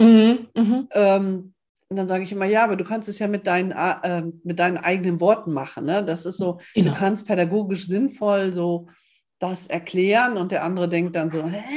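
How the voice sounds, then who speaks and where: A woman with an unremarkable speaking voice, medium pitch, fairly even intonation and a moderate pace. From northern Germany (Osnabrück). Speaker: coach, podcast co-host. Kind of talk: casual chat.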